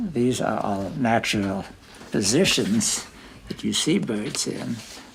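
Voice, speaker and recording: A man's fairly low voice at a very slow pace, noticeable background noise behind it. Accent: American. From California. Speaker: retired mathematics teacher. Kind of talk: interview answer.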